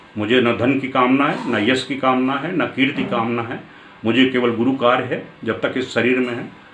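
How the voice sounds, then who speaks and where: Room echo is audible around a man with a medium pitch. He speaks at a moderate pace. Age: 70s. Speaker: spiritual teacher. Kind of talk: spiritual discourse.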